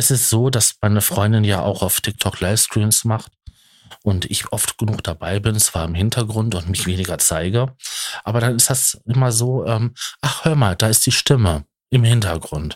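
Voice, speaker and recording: Somewhat breathy and fairly low-pitched, a man speaks at a moderate pace with ordinary pitch variation. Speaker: podcaster. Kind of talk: personal monologue. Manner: halting. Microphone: good microphone.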